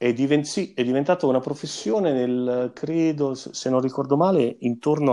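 A man speaks in a dark, mellow tone with ordinary pitch variation and hardly any pauses. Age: 40s. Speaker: musician, singer and double bassist. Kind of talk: interview. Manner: halting, repeats words.

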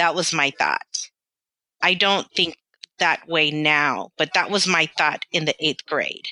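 Very slowly and with very even loudness, a woman with an American accent and a very deep, low pitch speaks in a bright, sharp tone with fairly even intonation, the sound dry and close with no echo. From London, then US South and Southern California. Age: 40s. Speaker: physical therapist and practice owner. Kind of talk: casual interview conversation.

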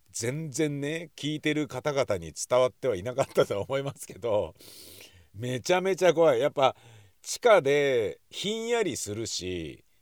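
A man's fairly high voice, fairly slow, with very wide pitch swings and big swings in loudness, dry and close with no echo. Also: very clean recording, silent background. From Tokyo, Nakano. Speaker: podcaster. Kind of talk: casual monologue.

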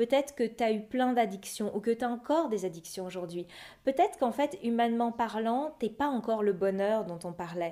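Lively intonation at a moderate speed, fairly high pitch, a plain, everyday voice, a woman. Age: 30s. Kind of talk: testimony.

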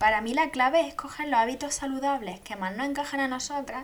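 At a fairly quick pace and with ordinary pitch variation, the speaker talks over noticeable background noise. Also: woman. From Andalusia, Spain (Jaén province). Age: 20s. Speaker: podcast host. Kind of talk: casual monologue.

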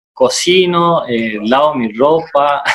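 Fairly high-pitched man's voice, an unremarkable speaking voice, with ordinary pitch variation. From Corrientes province, Argentina. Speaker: chamamé musician. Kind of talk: casual interview. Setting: video call.

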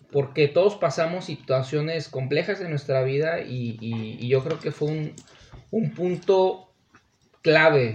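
A man speaks at a fairly high pitch and a very slow pace. His pitch varies in an ordinary way. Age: 30s. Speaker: podcast guest. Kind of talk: casual chat.

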